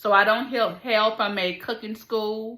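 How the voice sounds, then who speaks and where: The woman's tone is bright and sharp. She talks at a moderate pace. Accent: strong Southern US. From US South, Alabama. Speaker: cook and food channel host. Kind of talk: casual chat. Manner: casual, halting with fillers.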